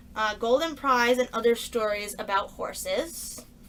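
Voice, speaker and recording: A woman's fairly high voice with ordinary pitch variation, against noticeable background noise. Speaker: book haul vlogger. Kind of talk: casual haul video talk.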